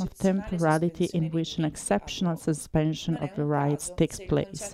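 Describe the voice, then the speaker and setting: Her pitch fairly low, a woman speaks at a moderate pace with fairly even intonation. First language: Italian. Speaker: activist and researcher. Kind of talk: lecture; panel discussion.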